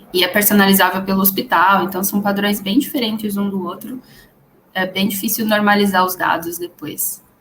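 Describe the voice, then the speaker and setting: Audible room echo and noticeable background noise surround a woman who talks at a moderate pace with medium pitch and fairly even intonation. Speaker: data scientist, conference speaker. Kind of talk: conference Q&A.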